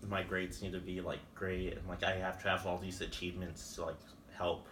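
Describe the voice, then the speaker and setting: Audible room echo surrounds a man with a very deep, low pitch. He talks at a fairly quick pace in a monotone, flat intonation. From Van Horn, West Texas. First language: Spanish. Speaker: college student. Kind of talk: interview. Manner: hesitant, many fillers.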